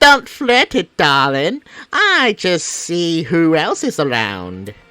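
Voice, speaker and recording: A put-on character voice at middle pitch. The pace is very slow. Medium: solo performance. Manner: flirtatious.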